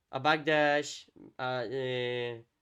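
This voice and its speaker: A man with a Spanish accent at a very slow pace, flat and monotone, against a quiet background. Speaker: fighting game content creator, interviewer. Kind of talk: casual chat, match analysis. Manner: halting.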